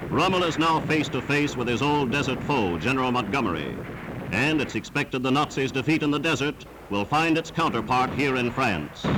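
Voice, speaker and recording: Over noticeable background noise, a man speaks at a fairly quick pace and medium pitch, with ordinary pitch variation and very even loudness. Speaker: newsreel narrator. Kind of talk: wartime newsreel narration. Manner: dramatic, emphatic.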